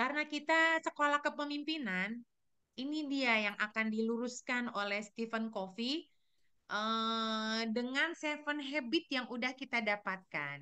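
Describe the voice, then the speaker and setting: A woman's high-pitched voice, bright and sharp in tone, with lively intonation and a fairly slow pace. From Sulawesi, Indonesia. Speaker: teacher. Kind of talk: presentation to colleagues. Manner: loud; halting with fillers.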